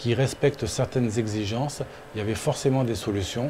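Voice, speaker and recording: A man's voice with fairly even intonation amid noticeable background noise. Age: 60s. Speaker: engineer and drone builder. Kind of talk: interview testimony.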